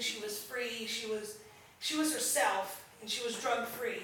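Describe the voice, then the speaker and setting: A woman's high voice with lively intonation, over noticeable background noise. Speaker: storyteller. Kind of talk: live storytelling performance. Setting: live stage, theatre audience.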